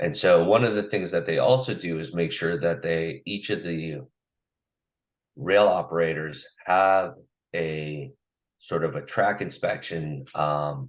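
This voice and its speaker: A man talks at a fairly slow pace with a very deep, low pitch and ordinary pitch variation. The background is quiet. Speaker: agency staff presenter. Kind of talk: formal presentation at public meeting. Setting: public commission meeting. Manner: halting with fillers.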